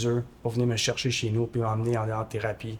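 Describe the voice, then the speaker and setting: Fairly quick and flat, a man talks in a monotone. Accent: Quebec. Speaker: former homeless person. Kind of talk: testimony. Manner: halting.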